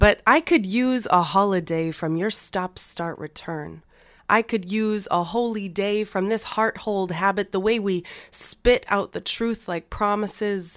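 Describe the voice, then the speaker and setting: On a very clean recording with a silent background, a woman with a Canadian Prairie accent speaks at a medium pitch and a fairly slow pace, with ordinary pitch variation. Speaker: spoken word poet. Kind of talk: poetry reading.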